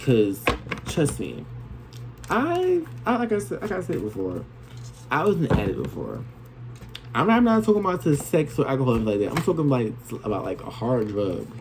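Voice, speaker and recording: The speech moves at a moderate pace. Long, frequent pauses break it up. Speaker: tarot reader. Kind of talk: tarot reading monologue. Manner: stumbles on words.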